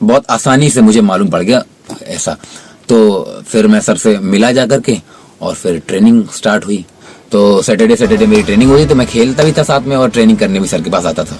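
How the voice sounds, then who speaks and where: Over noticeable background noise, a man talks at a moderate pace in a medium pitch with ordinary pitch variation. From North India. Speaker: cricketer; voice over trainee. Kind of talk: interview answer.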